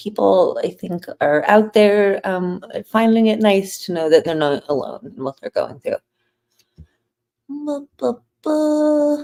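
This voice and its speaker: Very slow and full of long, frequent pauses, this dark, mellow voice makes very wide pitch swings. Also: woman, fairly high pitch for a woman. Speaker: podcast host cooking on livestream. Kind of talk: casual livestream chat while cooking. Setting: live stream. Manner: mumbling.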